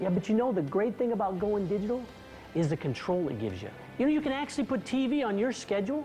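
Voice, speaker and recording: Faint music plays in the background as a woman talks at a very fast pace in an upbeat, enthusiastic tone with very wide pitch swings. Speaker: host actor in infomercial. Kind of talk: infomercial acting. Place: home room.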